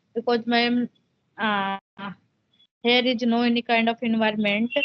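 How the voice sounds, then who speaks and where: In a monotone, flat intonation, a woman speaks at a fairly high pitch. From India, Uttar Pradesh. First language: Hindi. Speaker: homemaker, English learner. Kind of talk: English conversation practice interview. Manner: halting.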